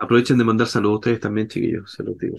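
A man talks at a very fast pace in a fairly low voice with vocal fry and a slightly husky edge. His pitch moves little.

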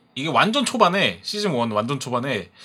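A man talks at a fairly quick pace in a bright, sharp tone. Vocal fry runs through his speech. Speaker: podcast host. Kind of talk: casual chat.

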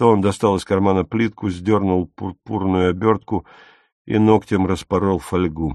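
A natural reading voice with fairly even intonation sounds against a quiet background.

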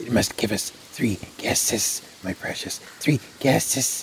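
Reading in an unforced voice

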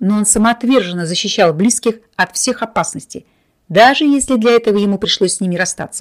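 Quiet background, a natural reading voice, and ordinary pitch variation

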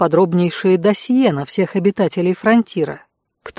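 Quiet surroundings, an unforced reading voice, and ordinary pitch variation

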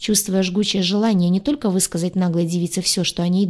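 This is reading aloud in a natural voice. The intonation stays fairly even.

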